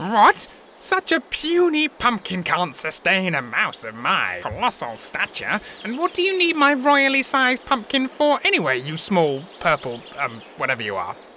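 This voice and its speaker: A cartoonish character voice at fairly high pitch and moderate pace, over clear background noise. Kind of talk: comic overacting. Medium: puppet show. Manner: pompous, blustering, grandiose.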